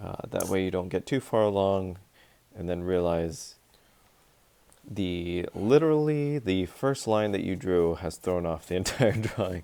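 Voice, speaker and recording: A man with a very deep, low pitch and a dark, mellow tone speaks with lively intonation. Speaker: art teacher. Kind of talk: tutorial. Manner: hesitant, many fillers.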